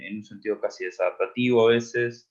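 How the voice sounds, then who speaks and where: A man speaks at a medium pitch with an Argentine accent. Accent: Argentine Spanish (Rioplatense). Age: 30s. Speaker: psychotherapist. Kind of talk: interview.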